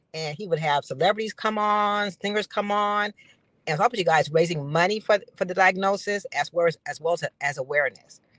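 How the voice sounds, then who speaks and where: Woman with an unremarkable speaking voice, medium pitch, ordinary pitch variation and a fairly quick pace, in a dry, close sound with no echo. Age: 60s. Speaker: founder of a life insurance campaign. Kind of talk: guest interview on live stream. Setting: live video stream.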